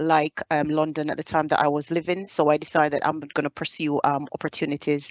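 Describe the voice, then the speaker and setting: With a Caribbean accent, a woman speaks in a very deep, low pitch and a monotone, flat intonation. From Jamaica. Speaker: soldier. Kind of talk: presentation.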